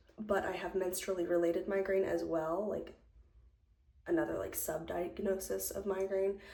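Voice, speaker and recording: A soft-spoken woman talks at a moderate pace. Audible echo from the room surrounds her voice. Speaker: lifestyle vlogger. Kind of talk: casual chat. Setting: at home, doing makeup on camera.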